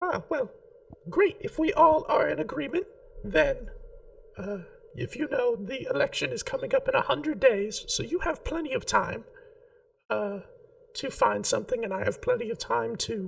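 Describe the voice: A high-pitched, put-on character voice at a moderate pace, with long, frequent pauses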